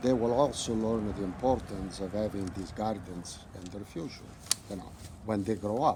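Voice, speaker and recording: Against noticeable background noise, a man with an Italian accent talks at a moderate pace and a fairly low pitch, with big swings in loudness. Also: ordinary pitch variation. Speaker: butterfly gardener. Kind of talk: interview.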